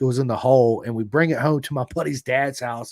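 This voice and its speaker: This speaker has a Southern accent and talks at a very fast pace. The sound is dry and close, with no echo. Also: man. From Florida. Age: 40s. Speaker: podcast host. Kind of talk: casual chat. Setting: live podcast.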